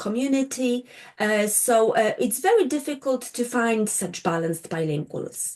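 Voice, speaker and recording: A woman with a Polish accent talks at a fairly slow pace. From Poland. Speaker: linguistics lecturer. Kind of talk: lecture. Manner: halting, with many fillers.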